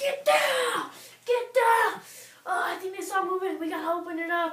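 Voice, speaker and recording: A woman's put-on character voice, extremely high in pitch, with lively intonation and slight echo. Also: moderate pace. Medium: stage play. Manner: frantic, urgent.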